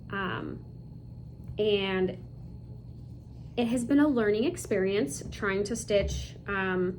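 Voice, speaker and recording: A woman speaks with an American accent at a very slow pace. Her speech has long, frequent pauses, and the room echo is audible. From US Midwest (Chicago and Michigan City, Indiana). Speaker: cross stitch video creator. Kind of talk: casual hobby show-and-tell. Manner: halting, many fillers.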